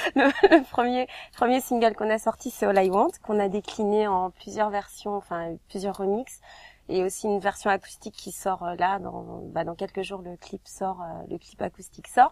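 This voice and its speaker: A woman speaks at a moderate pace with a medium pitch and ordinary pitch variation. Her loudness swings widely. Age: young. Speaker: singer. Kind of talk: interview. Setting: recording studio. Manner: hesitant, many filler sounds.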